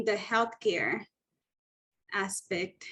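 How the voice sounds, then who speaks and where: The speaker has a Spanish accent and talks at a fairly slow pace. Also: woman. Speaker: training program facilitator. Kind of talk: icebreaker session in an online meeting. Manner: friendly, informal.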